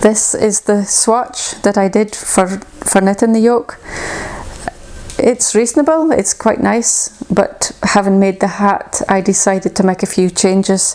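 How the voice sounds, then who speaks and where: A woman with a Shetland accent speaks at a fairly slow pace, with very even loudness and ordinary pitch variation. Noticeable background noise runs behind her. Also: medium pitch for a woman. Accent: Shetland Scottish. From Shetland, Scotland. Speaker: knitwear designer. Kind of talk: casual talk to camera.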